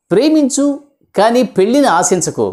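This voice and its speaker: A man speaks with very wide pitch swings. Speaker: voice actor. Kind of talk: comedy jokes told to camera. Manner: casual, humorous.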